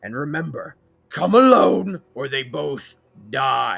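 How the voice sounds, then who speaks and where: A man growls in a put-on character voice at a fairly slow pace. Music plays in the background. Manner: serious, menacing.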